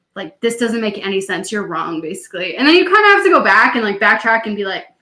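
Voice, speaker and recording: Speaking with a Canadian accent, a woman talks at a very fast pace in a fairly high pitch. Her tone is animated, with lively intonation and big swings in loudness. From Canada. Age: 20s. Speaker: podcast co-host, PhD student. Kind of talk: casual chat.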